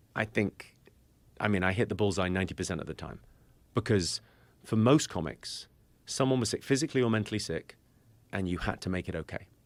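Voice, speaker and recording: A man with a British accent speaks in a fairly low pitch at a fairly quick pace, with ordinary pitch variation. He leaves long, frequent pauses, and the recording is very clean with a silent background. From Britain. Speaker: comedian. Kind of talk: podcast conversation.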